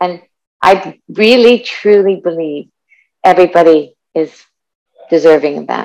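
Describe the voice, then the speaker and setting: A woman speaks at a fairly low pitch with ordinary pitch variation. Her pace is fairly slow, with long, frequent pauses. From Montreal, Canada. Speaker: sobriety movement founder. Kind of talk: interview.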